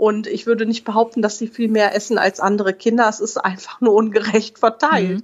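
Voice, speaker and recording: A woman with a Rhineland accent, monotone and flat, at a fairly quick pace with hardly any pauses. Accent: regional Rhineland German accent, noticeable. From Oberbergisches Land, western Germany. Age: 30s. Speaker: mother and family blogger. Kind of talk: interview.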